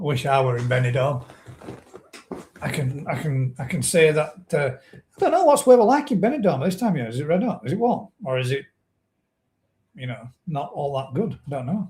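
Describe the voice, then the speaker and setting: A man with a northern English accent and a fairly high pitch speaks at a moderate pace with lively intonation. His loudness swings widely, and he takes long, frequent pauses. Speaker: koi pond live stream host. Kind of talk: live stream chat. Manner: casual chatty.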